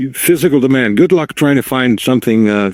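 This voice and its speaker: Music plays in the background as a man talks at a moderate pace, in a dry, close sound with no echo. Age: 70s. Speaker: precious metals commentator. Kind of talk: interview. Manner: halting.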